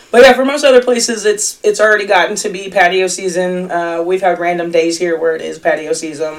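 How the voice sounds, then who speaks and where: Noticeable background noise sits under a woman's voice. She talks at a fairly quick pace with hardly any pauses. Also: medium pitch for a woman, ordinary pitch variation. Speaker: restaurant industry podcast co-host. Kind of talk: casual chat. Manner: loud.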